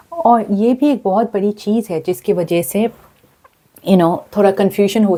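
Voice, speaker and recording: A somewhat breathy woman's voice of medium pitch, dark and mellow in tone, on a very clean recording with a silent background. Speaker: tarot card reader. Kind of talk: tarot reading to camera. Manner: casual, hesitant fillers.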